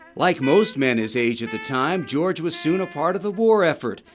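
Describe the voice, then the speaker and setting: A man's voice with very wide pitch swings, over music in the background. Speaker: TV news reporter. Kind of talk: TV news narration.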